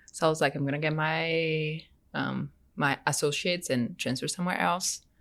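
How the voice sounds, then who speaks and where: A woman with a Brazilian accent speaks at a fairly quick pace in a very deep, low pitch. The recording is very clean, with a silent background. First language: Portuguese. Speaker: graduate student. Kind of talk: casual interview chat.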